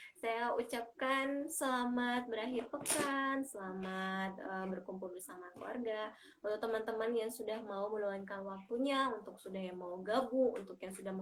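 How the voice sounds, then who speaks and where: A woman with a fairly high pitch talks at a moderate pace with hardly any pauses, noticeable background noise behind her. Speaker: community group host. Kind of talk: live-stream chat. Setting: live stream from a bedroom. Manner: loud. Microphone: headset not working, speaking without it.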